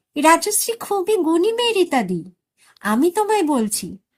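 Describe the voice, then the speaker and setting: A woman puts on a squeaky character voice at an extremely high pitch. Her pitch swings very widely, and she speaks at a fairly slow pace. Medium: read story. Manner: reproachful, familiar.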